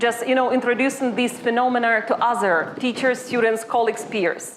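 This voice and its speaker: Speaking in a Ukrainian accent, a woman talks at a high pitch and a moderate pace. Noticeable background noise is present. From Ukraine. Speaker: university lecturer. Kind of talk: workshop presentation.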